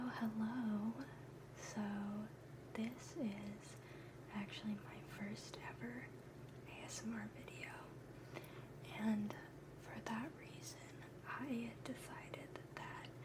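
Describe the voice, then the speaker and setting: Whispering at a very slow pace with long, frequent pauses comes over noticeable background noise. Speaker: pre-med student. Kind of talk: ASMR study lesson. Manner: whispered.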